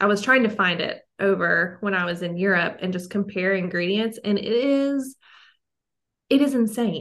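A woman with a plain, everyday voice, medium in pitch, at a moderate pace with ordinary pitch variation. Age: 20s. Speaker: holistic health coach. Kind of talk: casual interview.

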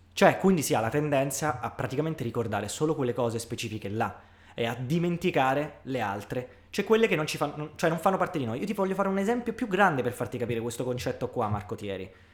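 A man speaks at a very fast pace and a fairly high pitch, with very wide pitch swings. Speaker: podcast co-host. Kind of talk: casual chat.

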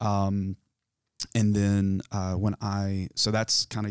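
Recorded dry and close with no echo, a man speaks in a Southern US accent with monotone, flat intonation. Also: very clean recording, silent background. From US South, South Carolina foothills. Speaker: mock therapy client. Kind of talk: role-played therapy intake. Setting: studio, on camera. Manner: halting.

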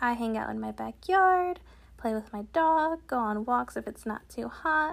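A woman in an American accent at a high pitch and moderate pace, on a very clean recording with a silent background. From Connecticut, US. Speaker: podcast co-host and student. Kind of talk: casual chat. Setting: recording in the same room as co-host.

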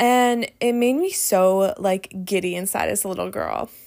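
At a fairly slow pace, a woman talks in an unremarkable speaking voice, her pitch medium and its variation ordinary. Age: 30s. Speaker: podcast host and sobriety coach. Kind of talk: recounted speech with casual podcast talk.

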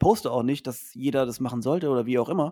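A man talks at a very fast pace with ordinary pitch variation, recorded very cleanly against a silent background. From Mannheim, Germany. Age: 30s. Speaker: teacher and supplement entrepreneur. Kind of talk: podcast interview.

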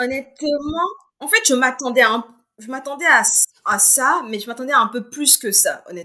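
A woman with a high pitch uses a raised, projected voice with big swings in loudness and lively intonation. She goes at a fairly slow pace, with long, frequent pauses. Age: 20s. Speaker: book reviewer on social media. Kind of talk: casual book discussion.

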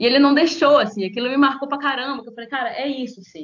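Speaking at a very fast pace, a woman uses a high voice. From Minas Gerais, Brazil (Conselheiro Pena, near Governador Valadares). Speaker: podcast collaborator and union activist. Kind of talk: casual chat.

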